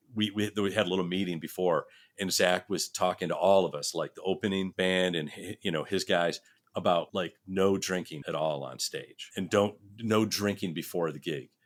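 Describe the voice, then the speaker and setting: With an American accent, a man speaks at a moderate pace in a very deep, low voice with fairly even intonation. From US Northeast, Rochester, New York. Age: 60s. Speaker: session guitarist. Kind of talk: casual chat. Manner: halting, many restarts.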